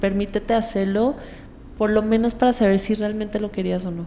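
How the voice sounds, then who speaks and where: A woman's monotone, flat delivery. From Colombia. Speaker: singer. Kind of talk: interview.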